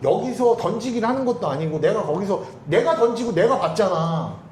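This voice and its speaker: Over noticeable background noise and audible room echo, a man talks with extremely high pitch and very wide pitch swings. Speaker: international marriage broker. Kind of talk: casual chat. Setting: coffee shop office. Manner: fast; forceful.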